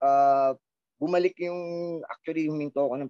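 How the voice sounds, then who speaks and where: A man's dark, mellow voice at a moderate pace, dry and close with no echo. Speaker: rock band frontman. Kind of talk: casual interview chat.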